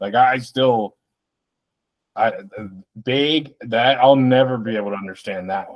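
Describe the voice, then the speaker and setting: In a slight Midwestern accent, a man speaks at a fairly slow pace and medium pitch, with long, frequent pauses, ordinary pitch variation and big swings in loudness. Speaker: podcast co-host. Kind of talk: casual chat.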